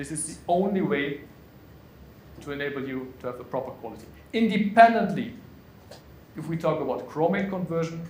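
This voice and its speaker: A man with a fairly high pitch, lively intonation and big swings in loudness at a fairly quick pace, with light background noise and audible room echo. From Germany. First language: German. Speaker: conference speaker, pretreatment specialist; conference speaker. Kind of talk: conference presentation. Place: meeting room.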